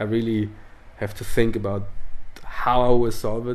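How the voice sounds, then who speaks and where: Monotone, flat intonation from a man with a fairly low pitch, at a moderate pace, with audible room echo. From northern Italy (South Tyrol, Dolomites). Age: 30s. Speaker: former pro snowboarder and artist. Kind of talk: casual interview chat.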